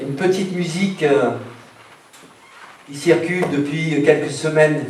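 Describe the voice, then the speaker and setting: Amid audible room echo and noticeable background noise, a man speaks very slowly at a fairly high pitch with fairly even intonation. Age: 60s. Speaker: doctor and mayoral candidate. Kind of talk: campaign speech.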